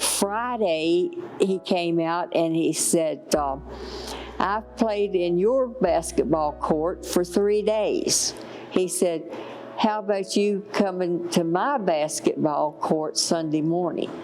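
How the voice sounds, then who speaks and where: Speaking in a Virginia accent at a very slow pace, a woman has a fairly low pitch with ordinary pitch variation and very even loudness. Noticeable background noise sits behind her. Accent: rural Virginia Southern US. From Virginia (Deerfield, Staunton). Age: 70s. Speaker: church volunteer. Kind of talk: testimony. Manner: hesitant, many fillers.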